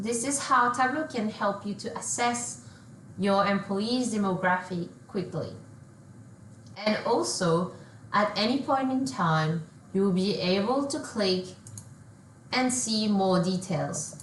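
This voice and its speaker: Noticeable background noise and audible room echo surround a woman of medium pitch. She speaks very slowly, her pitch swinging very widely, with long, frequent pauses. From France. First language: French. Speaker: solution engineer. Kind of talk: software demo.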